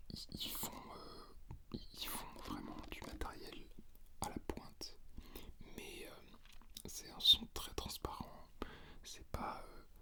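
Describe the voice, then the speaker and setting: A man whispers very slowly while noticeable background noise runs beneath him. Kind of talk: ASMR unboxing and gear comparison, casual talk to camera. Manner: hesitant, rambling with many filler words.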